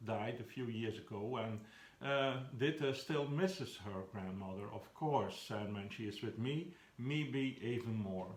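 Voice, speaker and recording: A man with a Flemish accent speaks with lively intonation. Audible room echo surrounds his voice. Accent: Flemish Dutch accent in English. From Belgium (Flanders). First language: Flemish Dutch. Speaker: children's book author. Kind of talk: talking about his own book. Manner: halting, with frequent fillers.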